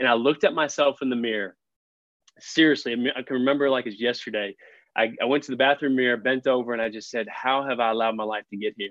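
Speaking with an American accent, a man talks at a very fast pace. His pitch is medium and his intonation fairly even. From Texas, Fort Worth. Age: 30s. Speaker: young adult ministry leader. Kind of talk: podcast interview.

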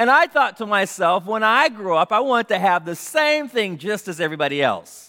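Projecting his voice with a bright, sharp tone, a man with an American accent speaks fairly slowly at a high pitch, swinging very widely in pitch, in a very clean recording over a silent background. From US West Coast, South Central Los Angeles. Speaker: pastor. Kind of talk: sermon.

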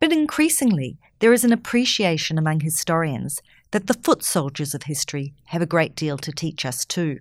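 On a very clean recording with a silent background, a woman speaks in an ordinary speaking voice at a moderate pace, her fairly low pitch carrying lively intonation. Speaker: podcast host. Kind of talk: interview. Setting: studio.

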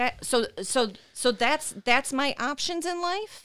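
Fairly slow speech with lively intonation in a Michigan accent. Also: woman. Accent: Midwestern American (Michigan). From Michigan, Dearborn Heights. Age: 40s. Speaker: chronic pain patient and advocate. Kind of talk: interview.

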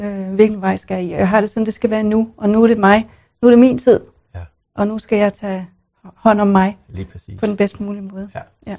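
A woman's medium-pitched voice, dark and mellow in tone, with monotone, flat intonation, a fairly quick pace and big swings in loudness, over a quiet background. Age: 50s. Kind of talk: coaching session. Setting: studio.

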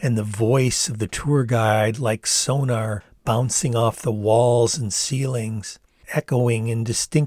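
This unforced reading voice holds a fairly even intonation throughout.

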